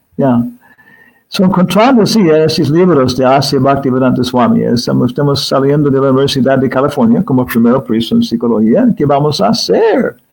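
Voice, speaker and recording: Holding a very even loudness, a man with an English accent speaks at a moderate pace and fairly high pitch, his voice making very wide pitch swings. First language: English (speaking Spanish). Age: 70s. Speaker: spiritual teacher and scholar. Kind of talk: interview. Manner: halting.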